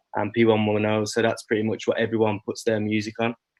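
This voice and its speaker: This man talks very fast at a medium pitch, with a Birmingham accent. His intonation is monotone and flat. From England, Birmingham. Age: 20s. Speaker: rapper. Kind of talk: interview. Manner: casual.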